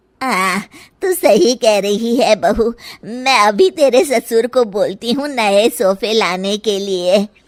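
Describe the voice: A woman's cartoonish character voice, fairly high in pitch, with lively intonation at a fairly slow pace.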